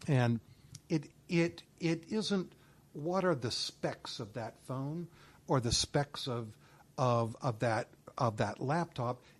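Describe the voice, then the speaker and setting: This man has a fairly high pitch and a somewhat breathy voice, speaking at a very slow pace with lively intonation and long, frequent pauses. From Southeast Asia. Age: 60s. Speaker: author and retail researcher. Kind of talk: interview.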